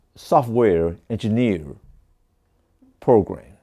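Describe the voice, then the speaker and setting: Speaking at a very slow pace, a man talks with a Taiwanese accent. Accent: Taiwanese Mandarin-accented English. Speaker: doctor of Chinese medicine. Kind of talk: testimony.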